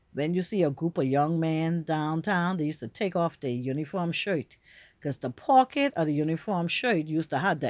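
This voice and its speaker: On a very clean recording with a silent background, a woman with a fairly low voice speaks at a moderate pace. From Bahamas. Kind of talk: casual storytelling to camera.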